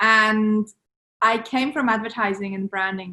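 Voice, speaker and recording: In a Swiss accent, a woman speaks at a moderate pace with fairly high pitch and fairly even intonation, on a very clean recording with a silent background. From Switzerland. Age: 30s. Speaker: entrepreneur. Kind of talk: podcast interview.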